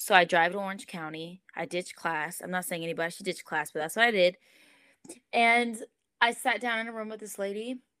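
A bright, sharp tone in an American accent, at a fairly quick pace, with big swings in loudness. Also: woman, medium pitch for a woman, ordinary pitch variation. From Southern California. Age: 20s. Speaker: church creative director. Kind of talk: podcast interview. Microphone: echoey audio.

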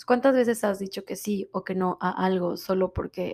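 A woman at medium pitch speaks at a moderate pace in a very clean recording with a silent background. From Mexico. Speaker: podcast host, wellness coach. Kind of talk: motivational self-help talk.

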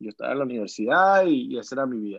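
A man talks very fast at a fairly high pitch, with a quiet background behind him. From Venezuela. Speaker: singer-songwriter. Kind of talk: interview. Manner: halting, many repetitions.

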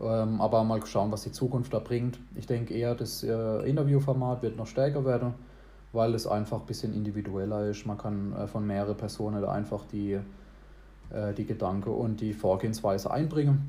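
A man's fairly low, somewhat breathy voice with a dark, mellow tone and fairly even intonation. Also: moderate pace. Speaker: podcast host. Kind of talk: casual chat. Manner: talkative.

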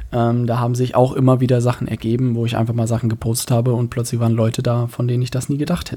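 A man's dark, mellow voice at medium pitch, delivered at a very fast pace. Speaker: podcast host. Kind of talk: solo podcast monologue. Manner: casual with frequent fillers.

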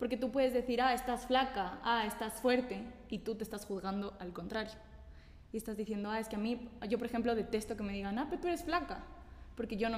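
Noticeable background noise runs under the recording. A woman with a fairly high voice speaks at a fairly quick pace with ordinary pitch variation. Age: 20s. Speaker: team member. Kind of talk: casual group chat.

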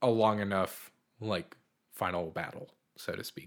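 Speaking at a very slow pace, a man talks with an American accent. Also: very clean recording, silent background. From US Northeast, Boston. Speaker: podcast co-host. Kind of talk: casual chat.

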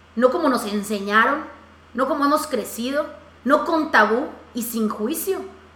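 A woman talks at a fairly slow pace in an animated tone with lively intonation. Noticeable background noise and audible room echo are present. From Mexico, Yucatán. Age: 30s. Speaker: podcast host. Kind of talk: casual interview.

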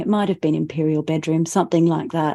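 In an Australian accent, a woman talks at a fairly quick pace with a fairly low pitch, a dark, mellow tone and fairly even intonation, on a very clean recording with a silent background. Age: 40s. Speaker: singer-songwriter. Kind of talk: casual chat.

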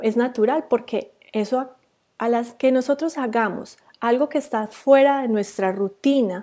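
Slowly and with ordinary pitch variation, a woman speaks in a dark, mellow tone on a very clean recording with a silent background. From Colombia, Antioquia (near Medellín). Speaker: social media marketing coach, agency owner. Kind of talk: live stream talk to viewers. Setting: Facebook Live video. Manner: halting, with repetitions and fillers.

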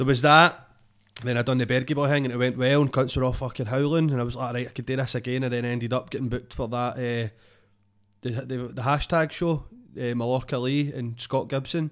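Speaking very fast, a man with a medium pitch keeps a flat, monotone intonation. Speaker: comedian and DJ. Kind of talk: casual chat.

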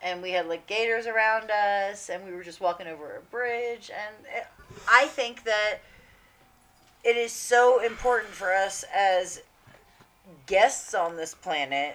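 Music plays behind a woman whose fairly high voice moves at a fairly slow pace with ordinary pitch variation. Her loudness swings widely, and she leaves long, frequent pauses. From military family abroad, UK and Italy. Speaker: comedian. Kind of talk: casual chat.

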